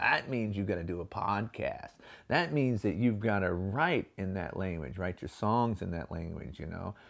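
Sounding animated, a man speaks at a moderate pace in a very clean recording with a silent background. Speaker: podcast host. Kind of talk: motivational monologue. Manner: animated, gestures a lot.

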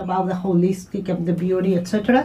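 A woman speaks with a Spanish accent at a medium pitch. Noticeable background noise is present. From Mexico. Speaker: community radio presenter. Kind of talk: radio interview. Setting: studio.

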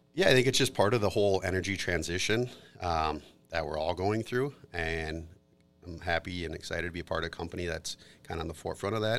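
A man speaks very fast with an Upper Midwest accent. His pitch is very deep and low. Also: ordinary pitch variation, very clean recording, silent background. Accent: Upper Midwest American. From Minnesota, Twin Cities area. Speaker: corporate attorney. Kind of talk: casual interview. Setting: studio.

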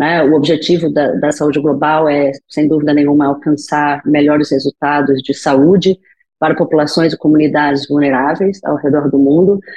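A woman's very deep, low voice, monotone and flat, at a moderate pace with very even loudness. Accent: Brazilian. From Brazil, Rio de Janeiro. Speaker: physician in global health. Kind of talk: podcast interview.

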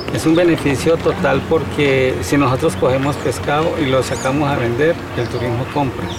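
A man's fairly high voice with ordinary pitch variation and hardly any pauses, amid noticeable background noise and audible room echo. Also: moderate pace. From Colombia, Honda (Tolima). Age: 50s. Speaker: fisherman and local guide. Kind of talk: interview.

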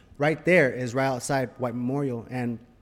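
This man has a medium pitch. He talks with an American accent. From Los Angeles, Boyle Heights. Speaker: actor. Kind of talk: casual chat. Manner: animated.

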